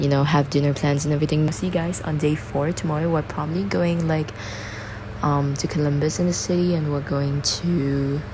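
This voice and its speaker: A woman speaks with a very deep, low pitch and fairly even intonation at a moderate pace. Background noise is noticeable, and room echo is audible. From Singapore. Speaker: travel vlogger. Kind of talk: casual vlog talk. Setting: rental apartment. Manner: whispering. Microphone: bad audio.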